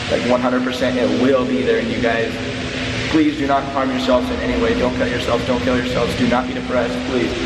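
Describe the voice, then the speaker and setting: Loud background noise runs under the clip. Over it, a man speaks at a very fast pace. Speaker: vlogger. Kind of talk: casual vlog chat. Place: home room. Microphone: phone near.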